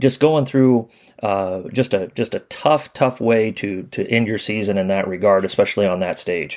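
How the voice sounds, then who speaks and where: Speaking at a moderate pace, the man has an unremarkable speaking voice, pitched fairly low, and his pitch varies in an ordinary way. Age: 40s. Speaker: basketball coaching podcast host. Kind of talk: interview.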